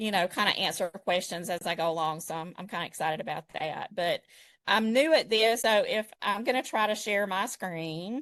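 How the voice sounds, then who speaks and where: Against a quiet background, a woman speaks with a Southern US accent at a medium pitch. Her pace is moderate and her intonation lively. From South Georgia, US. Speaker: digital design expert. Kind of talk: live tutorial.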